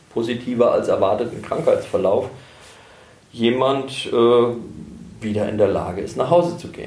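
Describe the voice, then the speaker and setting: A man talks fairly slowly, with echo from the room clearly audible. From Germany, Herborn (Hesse). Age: 50s. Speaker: hospice pastor. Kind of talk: interview.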